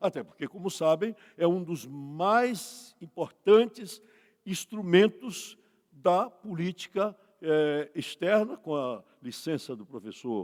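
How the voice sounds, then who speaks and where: Speaking very slowly, a man uses a fairly high pitch, and his loudness swings widely. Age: 80s+. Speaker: law professor. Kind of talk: conference lecture.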